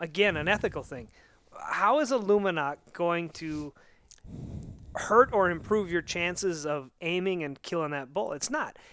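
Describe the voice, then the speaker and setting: Bright and sharp in tone, a man's high voice shows big swings in loudness. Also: lively intonation, moderate pace. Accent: American. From Montana. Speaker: saddle hunter. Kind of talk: casual chat. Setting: hunting lodge.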